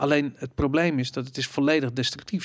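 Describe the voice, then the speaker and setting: This is an unremarkable speaking voice, moving at a fairly quick pace with ordinary pitch variation. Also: man. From Netherlands, Amsterdam. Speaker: podcast host. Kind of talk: casual chat.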